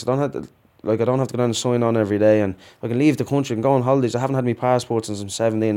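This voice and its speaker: With an Irish accent, a man speaks very fast at a medium pitch, his tone dark and mellow and his intonation fairly even. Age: 30s. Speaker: prisoner. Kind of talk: interview.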